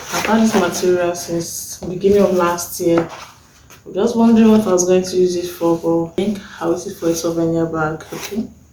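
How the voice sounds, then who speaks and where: Soft-spoken and medium-pitched, a woman talks at a fairly quick pace with fairly even intonation and big swings in loudness. The room has audible echo, and there is noticeable background noise. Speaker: sewing tutorial youtuber. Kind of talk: tutorial. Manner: soft-spoken, lowered voice.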